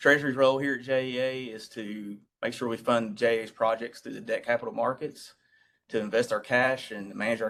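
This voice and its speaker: Talking at a fairly quick pace, a man has a strong Southern accent. His intonation is monotone and flat. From US South, East Tennessee. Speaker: utility treasurer. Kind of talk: committee meeting briefing. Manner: formal.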